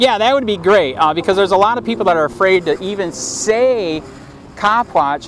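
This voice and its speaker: Speaking at a fairly quick pace, a man with a high pitch uses lively intonation and an animated tone over noticeable background noise. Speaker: copwatch activist. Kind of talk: casual chat.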